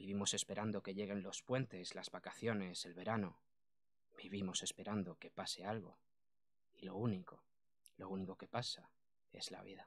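Monotone and flat, a man with a fairly low voice talks with long, frequent pauses. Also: moderate pace. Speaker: poet. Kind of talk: radio interview, casual chat. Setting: radio studio. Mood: reflective, earnest. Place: studio. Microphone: studio mic.

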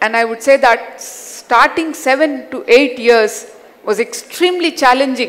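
In a Hyderabadi accent, a woman speaks with a high pitch and ordinary pitch variation. Her pace is fairly slow. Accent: Indian English (Hyderabadi). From Hyderabad, India. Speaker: educator and self-awareness coach. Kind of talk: personal life story talk. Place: stage. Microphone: headset.

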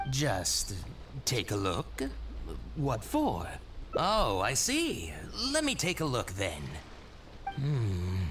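A man's put-on character voice at medium pitch, very slow, with a fairly bright tone and very wide pitch swings

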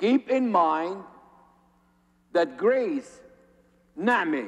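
A man speaks at a very slow pace with lively intonation against a quiet background. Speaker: priest. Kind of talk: sermon. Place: church.

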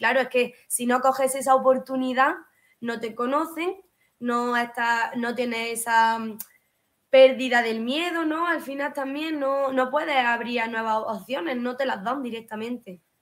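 A fairly slow, high-pitched woman's voice. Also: ordinary pitch variation. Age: 20s. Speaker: hairdresser; interview guest. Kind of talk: interview. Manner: halting. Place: home room.

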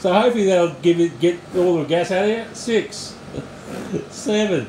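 A man speaks at a high pitch and moderate pace with ordinary pitch variation. The recording has light background noise and audible room echo. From Australia. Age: 60s. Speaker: home exercise vlogger. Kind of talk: casual talk, coaching a friend through exercise. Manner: upbeat, joking. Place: home room. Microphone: camera far.

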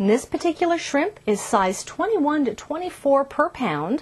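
Moderate pace from a woman. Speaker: cooking show host. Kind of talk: tutorial. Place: kitchen. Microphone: lapel.

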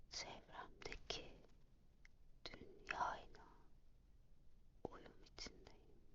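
Whispering in a calm tone, the speaker goes at a very slow pace with long, frequent pauses. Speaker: ASMR affirmation reader. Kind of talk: morning affirmations read. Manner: whispered; calm, slow.

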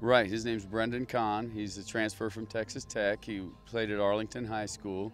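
At a moderate pace and in a flat monotone, the speaker is heard in a dry, echo-free sound with faint music in the background. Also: man. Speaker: assistant football coach. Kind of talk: interview answer. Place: stadium. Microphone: handheld.

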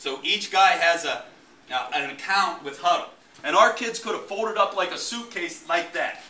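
A man speaks in a raised, projected voice at a moderate pace. His pitch varies in an ordinary way, and the room echo is audible. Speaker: football coach presenting. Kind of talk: presentation talk to audience. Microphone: camera far.

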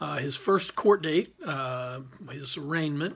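Vocal fry runs through this man's voice. His intonation is fairly even. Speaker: criminal defense lawyer. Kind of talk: casual informational talk to camera. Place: office. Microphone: phone near.

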